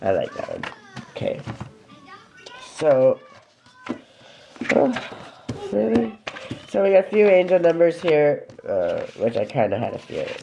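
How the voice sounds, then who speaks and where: Music in the background and a fairly slow pace. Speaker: lifestyle vlogger. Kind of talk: casual livestream chat. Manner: loud. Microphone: too quiet, viewers can't hear.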